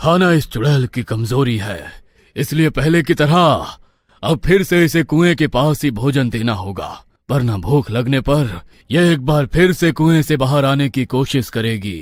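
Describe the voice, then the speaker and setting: A man's cartoonish character voice at medium pitch, with lively intonation and a moderate pace, in a very clean recording with a silent background. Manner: solemn, commanding.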